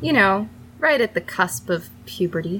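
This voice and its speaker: A woman's voice with vocal fry, at a fairly slow pace. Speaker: podcast co-host. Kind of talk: casual chat.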